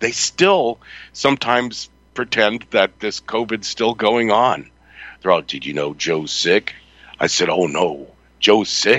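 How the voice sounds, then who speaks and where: With vocal fry and lively intonation, a man in an American accent speaks very slowly at a fairly low pitch. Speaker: radio host. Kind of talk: live talk radio show.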